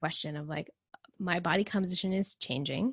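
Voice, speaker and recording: A woman with an American accent speaks at a moderate pace in a fairly low pitch, with vocal fry and ordinary pitch variation, in a dry, close recording with no echo and a quiet background. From Texas. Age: 30s. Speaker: nutrition coach. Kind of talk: casual chat.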